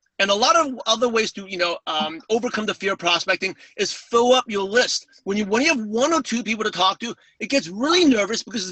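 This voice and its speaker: With a New York accent, a man talks at a fairly quick pace in a high pitch, with hardly any pauses. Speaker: network marketing speaker. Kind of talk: webinar interview. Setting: call. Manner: fast.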